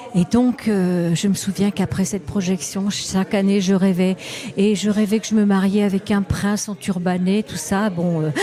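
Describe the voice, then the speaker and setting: The speech moves at a moderate pace with fairly even intonation against noticeable background noise. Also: woman, medium pitch for a woman. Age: 70s. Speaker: travel sketchbook artist. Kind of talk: interview. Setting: festival stand studio. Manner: halting.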